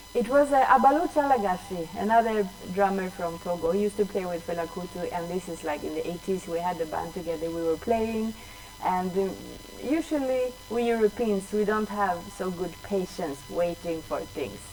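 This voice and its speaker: Over music in the background, a woman with a Swedish accent speaks at a moderate pace with lively intonation. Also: medium pitch for a woman. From Sweden. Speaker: drummer. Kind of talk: interview.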